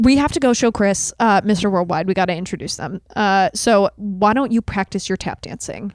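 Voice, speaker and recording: In an animated tone, a woman talks at a moderate pace with hardly any pauses and ordinary pitch variation, her voice dry and close with no echo on a very clean recording with a silent background. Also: medium pitch for a woman. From moved around US, later Toronto area. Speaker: comedian and improviser, podcast guest. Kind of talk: improvised comedy and casual chat.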